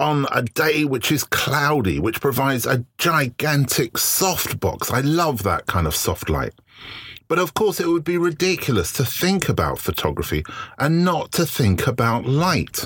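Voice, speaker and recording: With vocal fry and very even loudness, a man speaks at a fairly slow pace. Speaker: photography podcast host and lecturer. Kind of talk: solo reflective monologue. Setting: recording in his shed. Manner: hesitant, many filler words.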